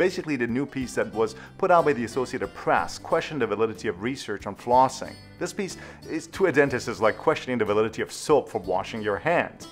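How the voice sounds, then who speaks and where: Faint music sits in the background. A man speaks over it at a very fast pace. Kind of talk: educational commentary to camera.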